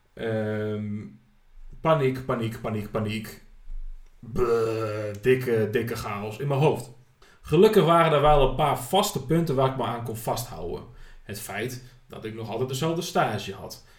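A man at medium pitch and a fairly slow pace, with ordinary pitch variation, big swings in loudness and audible room echo. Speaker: podcast host. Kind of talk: personal monologue.

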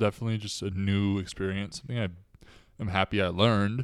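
Over a very clean recording with a silent background, a man talks at a fairly low pitch in an ordinary speaking voice. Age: 20s. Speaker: podcast co-host. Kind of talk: casual chat.

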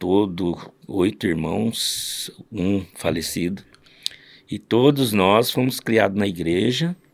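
A man with a fairly low voice talks very slowly, his pitch varying in a normal way. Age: 60s. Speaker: father of a podcast host, church musician. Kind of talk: casual chat with storytelling.

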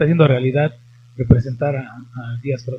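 Pacing is moderate, the tone is somewhat breathy, and the pitch varies in an ordinary way. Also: man. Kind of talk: interview and casual chat. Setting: studio, streamed live on Facebook.

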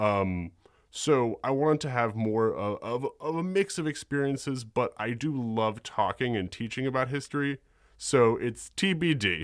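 A man with an American accent at medium pitch, moderate pace and lively intonation. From New York City. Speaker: history podcaster. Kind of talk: casual interview. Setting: home studio, remote. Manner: hesitant with many fillers.

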